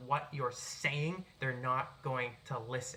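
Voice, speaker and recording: With noticeable background noise behind him, a man speaks in an animated tone with an American accent and ordinary pitch variation. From US Northeast, Boston. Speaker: writer and public speaker. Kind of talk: tutorial. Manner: animated, projected voice; unscripted, occasional stumbles.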